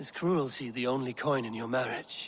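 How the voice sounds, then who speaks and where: A man puts on a raspy character voice at a medium pitch. He talks at a moderate pace over clear background noise. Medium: video game. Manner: dry, measured.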